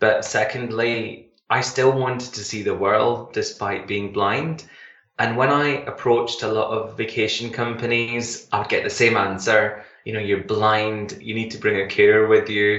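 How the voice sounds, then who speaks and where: A man with a Glasgow accent, fairly slow pace and fairly even intonation. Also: medium pitch for a man. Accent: Scottish (Glaswegian). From Glasgow, Scotland. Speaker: travel company founder. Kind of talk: radio interview.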